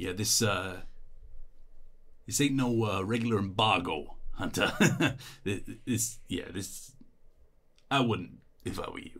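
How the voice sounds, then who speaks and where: Using a rumbling, put-on character voice, a man speaks at a medium pitch and a fairly slow pace, with long, frequent pauses. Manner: resigned, conciliatory.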